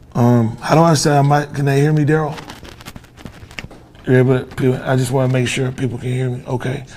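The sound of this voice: Audible room echo surrounds a man talking at a fairly quick pace in a medium pitch, with a slightly mellow tone and little pitch movement.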